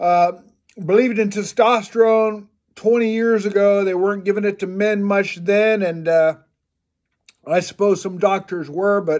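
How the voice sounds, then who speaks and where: With an American accent, a man speaks at a moderate pace in a high pitch with fairly even intonation. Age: 70s. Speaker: vlogger. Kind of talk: casual vlog monologue. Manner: hesitant, many filler words.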